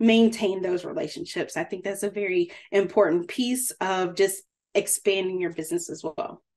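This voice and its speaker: Ordinary pitch variation shapes a woman's medium-pitched speech. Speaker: food business coach. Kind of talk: webinar presentation. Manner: fast.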